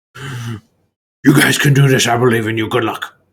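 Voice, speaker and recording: A man puts on a growling character voice at a medium pitch. He speaks at a moderate pace. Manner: encouraging.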